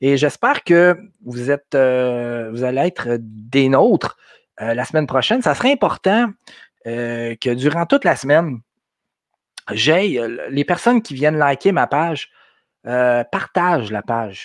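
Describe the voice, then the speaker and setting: A man with a Quebec accent and a fairly high voice speaks at a fairly slow pace with lively intonation and long, frequent pauses, the sound dry and close with no echo against a quiet background. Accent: Québécois French. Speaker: podcast host. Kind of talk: live stream talk. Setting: live video stream from home. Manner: halting, many fillers.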